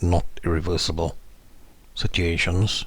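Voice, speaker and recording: A man's very deep, low, somewhat breathy voice with monotone, flat intonation. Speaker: legal educator on mental health law. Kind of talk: tutorial. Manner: slow.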